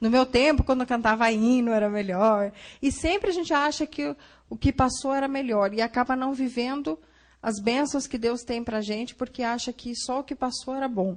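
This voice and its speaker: Moderate pace with ordinary pitch variation. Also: woman, high pitch for a woman. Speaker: psychologist giving a church talk. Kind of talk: lecture. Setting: church Sunday school class.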